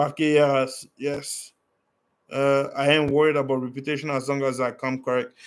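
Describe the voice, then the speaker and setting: A man with a French accent talks at a moderate pace in a fairly high pitch and a monotone, flat intonation. The recording is very clean, the background silent. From Canada, originally from Africa. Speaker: travel livestreamer. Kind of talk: casual livestream Q&A chat.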